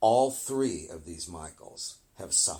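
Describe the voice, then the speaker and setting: A man speaks in a somewhat breathy voice. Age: 70s. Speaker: film historian. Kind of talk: interview.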